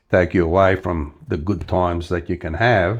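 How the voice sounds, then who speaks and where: A man's very deep, low, somewhat breathy voice with an Australian accent. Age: 70s. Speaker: retiree. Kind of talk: interview answer.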